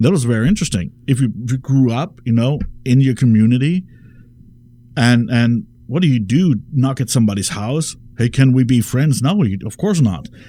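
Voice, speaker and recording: Speaking with a German accent, a man has a dark, mellow tone and lively intonation. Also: medium pitch for a man, moderate pace. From Germany. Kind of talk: radio talk show conversation. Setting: radio studio.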